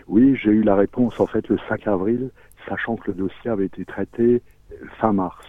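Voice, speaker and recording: At a moderate pace, a man with a fairly low pitch and fairly even intonation speaks with long, frequent pauses. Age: 60s. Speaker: pre-retired salesman sharing debt story. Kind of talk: testimony. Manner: halting.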